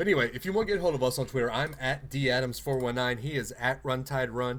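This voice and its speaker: On a very clean recording with a silent background, a man with a Southern US accent speaks in an animated tone at a moderate pace, his medium-pitched voice showing vocal fry and ordinary pitch variation. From Alabama, US South. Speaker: podcast host. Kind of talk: casual chat.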